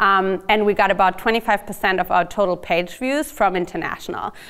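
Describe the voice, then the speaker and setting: A fairly quick delivery in a German accent, with ordinary pitch variation. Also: woman. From Germany. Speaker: startup marketing executive. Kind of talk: lecture.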